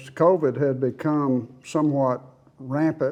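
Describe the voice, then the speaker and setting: Here a man talks with an Oklahoma accent. He keeps a fairly slow pace. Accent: Oklahoma, Southern US. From Oklahoma City. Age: 80s+. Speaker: retired accountant. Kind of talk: interview answer.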